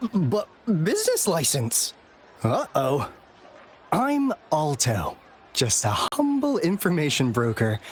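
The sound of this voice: A man puts on a character voice at a slow pace, fairly high-pitched with a slightly husky edge. His pitch swings very widely.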